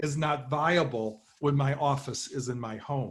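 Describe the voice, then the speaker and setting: This man's voice sits fairly high and sounds somewhat breathy. His pitch varies in an ordinary way. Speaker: professor. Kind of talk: conference talk. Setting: online conference from home. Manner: formal.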